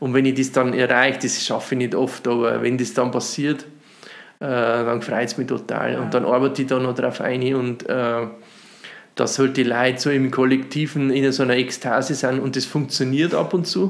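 Noticeable background noise sits under a man speaking at a moderate pace, medium pitch and fairly even intonation. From Upper Palatinate, Bavaria (Runding near Cham). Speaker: cabaret artist and musician. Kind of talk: casual interview chat. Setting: dining room at host's home.

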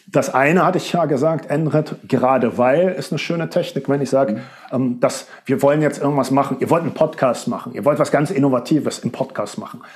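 A man with a fairly high pitch and ordinary pitch variation speaks fairly quickly against noticeable background noise. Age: 40s. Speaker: rhetoric coach. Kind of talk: interview.

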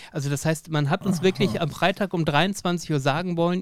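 Pitch varies in an ordinary way in a normal speaking voice. The speed is moderate. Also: man. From Lower Saxony, Germany. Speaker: podcast host. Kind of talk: casual interview.

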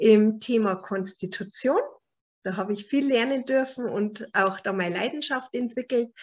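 A woman with a Bavarian accent speaks in a fairly high pitch with ordinary pitch variation. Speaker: animal naturopath and author. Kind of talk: book presentation lecture. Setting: online video call.

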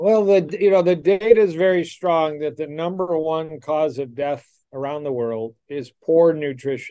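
A dark, mellow tone at a fairly slow pace, with ordinary pitch variation and a Midwestern American accent. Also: man. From US Midwest, Detroit, Michigan. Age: 60s. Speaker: cardiologist. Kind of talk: interview.

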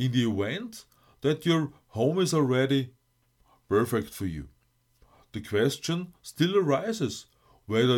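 The recording is very clean, with a silent background. Speech moves at a fairly slow pace, with long, frequent pauses. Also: man. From Austria. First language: German. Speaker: life coach and podcast host. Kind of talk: scripted monologue.

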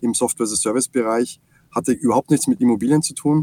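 A man with an Austrian accent has a dark, mellow tone at medium pitch, with fairly even intonation and a dry, close sound with no echo. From Austria, Salzburg. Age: 40s. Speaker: software company CEO. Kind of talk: interview.

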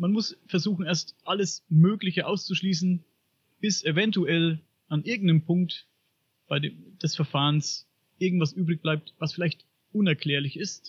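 A man's high-pitched voice at a fairly slow pace, with fairly even intonation and long, frequent pauses. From Upper Franconia, Bavaria, Germany. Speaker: podcaster on paranormal and UFO topics. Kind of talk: podcast interview.

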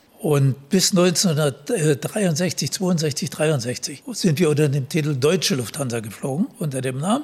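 A man speaks at a very slow pace with hardly any pauses. His voice is somewhat breathy. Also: fairly high pitch for a man, lively intonation. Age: 80s+. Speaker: retired airline captain. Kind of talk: interview.

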